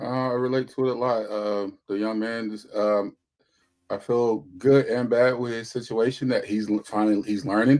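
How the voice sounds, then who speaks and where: A quiet man's voice with monotone, flat intonation. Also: medium pitch for a man, moderate pace. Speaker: panelist on discussion show. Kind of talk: panel discussion.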